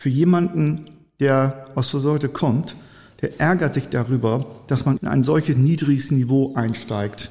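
A man's dark, mellow, somewhat breathy voice at a fairly slow pace. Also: fairly high pitch for a man, ordinary pitch variation. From northwestern Germany, Friesoythe area (Oldenburger Münsterland). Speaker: trademark and patent attorney. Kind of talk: interview.

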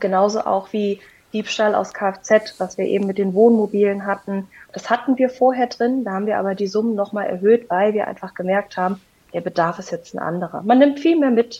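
A woman's medium-pitched voice, with ordinary pitch variation, moves at a fairly quick speed. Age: 30s. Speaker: insurance sales representative. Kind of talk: interview. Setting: remote call. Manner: hesitant with fillers.

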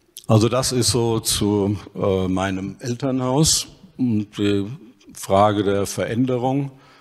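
Fairly low in pitch, a man speaks at a very slow pace. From Hesse, Germany (Dillenburg). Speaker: ancient historian. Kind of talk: panel discussion.

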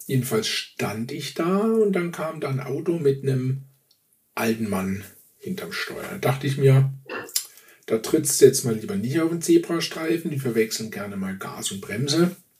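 A man speaks at a fairly high pitch with very wide pitch swings. His loudness also swings widely. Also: moderate pace. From Swabia, southern Germany. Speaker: podcast co-host. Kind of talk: casual chat.

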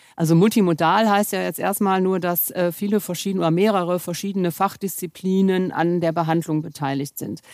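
On a very clean recording with a silent background, a woman talks at a fairly quick pace with hardly any pauses. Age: 50s. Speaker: pain medicine physician. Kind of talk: expert interview.

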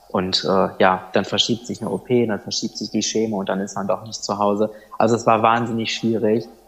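The speaker talks at a fairly quick pace in a monotone, flat intonation, against noticeable background noise. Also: man, fairly low pitch for a man. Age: 20s. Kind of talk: podcast interview, personal story.

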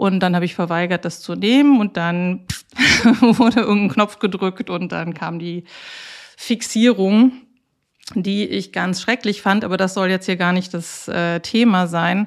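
A woman speaks in a normal speaking voice at a medium pitch with ordinary pitch variation. Her pace is fairly slow, on a very clean recording with a silent background. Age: 40s. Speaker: lawyer and patient with bipolar disorder. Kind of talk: interview.

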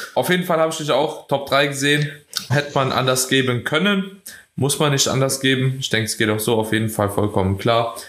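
In a plain, everyday voice, a man speaks at a medium pitch. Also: ordinary pitch variation, fairly quick pace. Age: 20s. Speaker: podcast host and bodybuilding coach. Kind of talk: casual chat.

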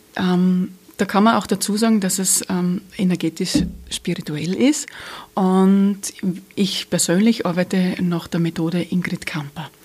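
Somewhat breathy, this voice moves at a fairly slow pace. Its pitch varies in an ordinary way. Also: woman, medium pitch for a woman. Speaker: energy healer and police officer. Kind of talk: interview. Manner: smiling, warm.

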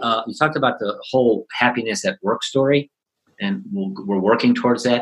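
A man speaks with a Chicago accent at a very fast pace. His pitch swings very widely. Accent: Chicago American. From Chicago South Side. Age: 60s. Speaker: positive psychology coach and author. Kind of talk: interview. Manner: halting.

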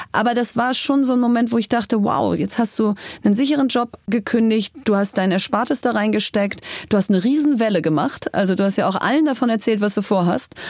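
A woman with a plain, everyday voice speaks at a fairly quick pace with very even loudness. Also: fairly high pitch for a woman, ordinary pitch variation. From Germany, Bielefeld. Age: 40s. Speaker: entrepreneur and author. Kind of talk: interview.

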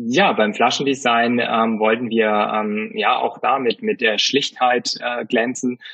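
A man at medium pitch, with fairly even intonation and a very slow pace. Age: 30s. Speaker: gin brand founder. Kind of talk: interview. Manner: halting, many fillers.

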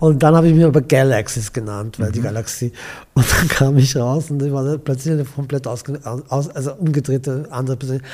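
A man's animated, fairly quick speech over noticeable background noise. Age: 60s. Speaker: gallery owner and event host. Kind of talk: casual interview chat.

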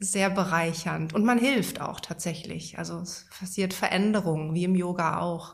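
Recorded very cleanly with a silent background, a woman speaks at a moderate pace in a fairly low pitch. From Germany, Münsterland. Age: 40s. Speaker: yoga teacher and couples therapist. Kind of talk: personal interview. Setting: in person at her place in Berlin.

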